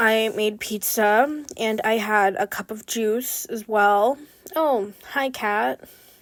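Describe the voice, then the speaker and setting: A woman speaks very slowly at a fairly high pitch with a Pacific Northwest accent. The recording is very clean, with a silent background. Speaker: beginner art content creator. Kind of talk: casual vlog narration while drawing. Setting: at home desk. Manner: chatty, lots of fillers.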